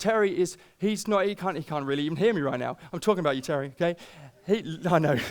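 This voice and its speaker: A man with a British accent talks at a very fast pace in an animated tone, his pitch high with ordinary variation. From Britain. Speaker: pastor. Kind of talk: sermon.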